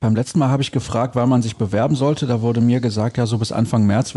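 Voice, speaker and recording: Somewhat breathy and dark, mellow in tone, a man talks at a very fast pace. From Solingen, western Germany. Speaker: podcast host. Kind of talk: casual interview.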